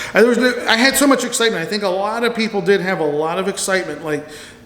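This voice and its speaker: A man speaks very fast with a high pitch and lively intonation. There is noticeable background noise. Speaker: theme park vlogger. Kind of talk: casual monologue. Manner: rambling, halting.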